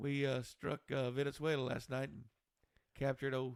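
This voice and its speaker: A man with a Texan accent, medium pitch, a monotone, flat intonation and a moderate pace. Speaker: podcast co-host. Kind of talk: casual chat.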